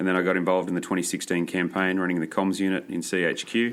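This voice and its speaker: In an Australian accent, a man speaks at a very fast pace. His pitch is very deep and low. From Australia, Maitland near Newcastle NSW. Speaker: environmental organisation chief of staff, former political staffer. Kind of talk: podcast interview. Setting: office in New York.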